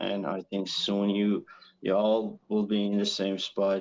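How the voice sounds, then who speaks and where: A man's fairly low voice with an American accent, at a very slow pace. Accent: imitates American. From Iran. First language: Persian. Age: 40s. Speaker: caller. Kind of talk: call-in question on livestream. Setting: outdoors on balcony. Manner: slow, halting.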